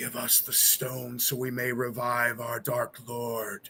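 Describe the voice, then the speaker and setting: A man's put-on character voice at a medium pitch and a fairly slow pace. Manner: commanding.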